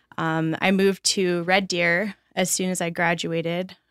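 In a very clean recording with a silent background, a woman with a Canadian Prairie accent speaks at a medium pitch with fairly even intonation, the sound dry and close with no echo. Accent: Canadian (prairies). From Alberta, Canada. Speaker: recovering alcoholic, pub worker. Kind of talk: testimony. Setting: studio.

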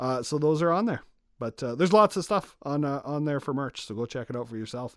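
A man speaks at a fairly high pitch and a fairly quick pace with lively intonation. The recording is very clean, with a silent background. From Saskatchewan, Canada (Moose Jaw). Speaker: video creator and podcast co-host. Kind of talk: casual chat. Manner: animated, laughs often.

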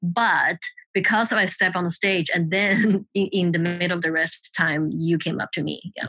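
A woman with a Mandarin accent speaks at a moderate pace in a bright, sharp tone, fairly low in pitch, with fairly even intonation. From China, Shanghai. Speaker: film and trailer editor. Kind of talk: casual interview conversation. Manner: halting, with fillers.

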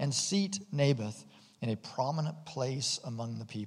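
The reading aloud is done in a natural voice, its intonation lively.

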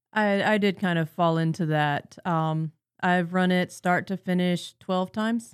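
A woman with an unremarkable speaking voice talks at a medium pitch and a fairly slow pace. Her loudness stays very even on a very clean recording with a silent background. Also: fairly even intonation. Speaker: tabletop game master. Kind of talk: casual chat.

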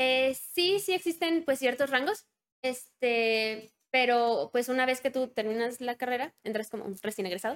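Fairly slow, high-pitched speech from a woman, full of lively intonation. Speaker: biomedical electronics engineer. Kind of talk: interview.

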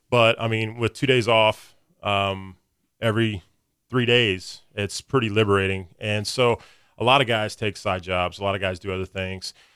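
Using a fairly low pitch, a man speaks with fairly even intonation in a Midwestern American accent. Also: moderate pace. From US Midwest, Springfield, Missouri. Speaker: firefighter. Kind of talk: casual chat.

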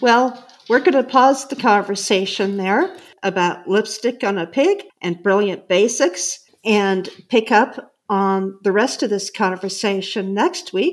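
A woman's medium-pitched, ordinary speaking voice at a fairly slow pace with ordinary pitch variation. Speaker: podcast host. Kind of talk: interview conversation.

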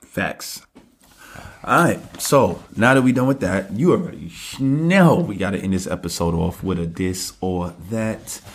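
Speaking at a fairly slow pace, a man with a New York accent has an animated tone and lively intonation. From New York (Brooklyn). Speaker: podcast co-host. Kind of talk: casual chat.

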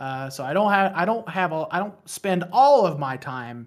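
A man with an American accent talks at a moderate pace in an unremarkable speaking voice, his intonation lively. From West Virginia. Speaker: podcaster. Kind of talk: casual chat.

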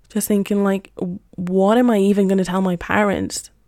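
With a dark, mellow, relaxed tone, a woman speaks at a moderate pace and medium pitch. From Spain, Madrid. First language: Spanish. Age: 20s. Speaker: podcaster and teacher. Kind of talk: casual monologue. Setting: home, on a couch. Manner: relaxed, unscripted.

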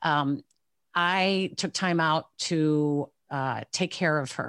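In a Chicago accent, a woman with a very deep, low pitch speaks on a very clean recording with a silent background. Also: dry, close sound with no echo. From Chicago area. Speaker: sportscaster. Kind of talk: interview.

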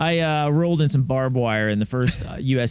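A man with an American accent talks at a fairly quick pace in a plain, everyday voice with ordinary pitch variation. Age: 40s. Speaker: obstacle racer and chiropractor. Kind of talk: interview. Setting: recorded at a media event.

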